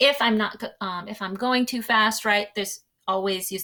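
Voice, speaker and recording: With a bright, sharp tone, a woman speaks in a medium pitch with ordinary pitch variation in a very clean recording with a silent background. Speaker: teacher. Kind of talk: tutorial. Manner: fast.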